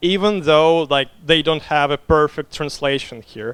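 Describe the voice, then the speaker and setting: This man speaks with a Russian accent at a fairly high pitch. His pitch rises and falls in an ordinary way. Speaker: game designer. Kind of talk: conference talk Q&A. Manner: hesitant, many fillers.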